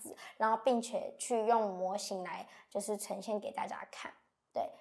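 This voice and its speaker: With a Taiwanese accent, a woman talks at a moderate pace in a fairly high voice with fairly even intonation against a quiet background. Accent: Taiwanese Mandarin. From Miaoli, Taiwan. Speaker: university student. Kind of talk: lecture. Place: studio.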